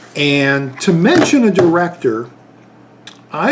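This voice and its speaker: Noticeable background noise under a man speaking with very wide swings in pitch. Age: 50s. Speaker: YouTube movie reviewer. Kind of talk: casual vlog talk. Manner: halting, many fillers.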